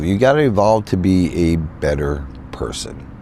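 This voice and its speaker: A man with an American accent speaks in a very deep, low pitch with very wide pitch swings. Audible room echo and noticeable background noise surround his voice. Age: 60s. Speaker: van life vlogger. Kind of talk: casual vlog monologue. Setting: in a van in a field. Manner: halting, repetitive.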